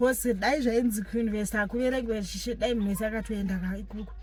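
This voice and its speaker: A woman with a Zimbabwean accent speaks in a somewhat breathy, fairly high voice with monotone, flat intonation. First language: Shona. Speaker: vlogger, law graduate. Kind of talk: casual vlog talk.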